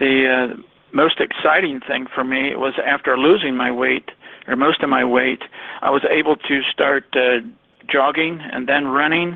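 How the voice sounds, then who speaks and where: A man with an American accent at a fairly high pitch, fairly even intonation and a fairly slow pace, with noticeable background noise. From Ohio. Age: 60s. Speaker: network marketer. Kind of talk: testimony. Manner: halting, many fillers.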